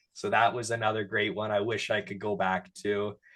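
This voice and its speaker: A man with a Canadian accent uses a normal speaking voice, talking at a fairly low pitch and a moderate pace. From Canada, Sudbury, Ontario. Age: 20s. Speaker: digital creator and interview host. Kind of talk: casual chat.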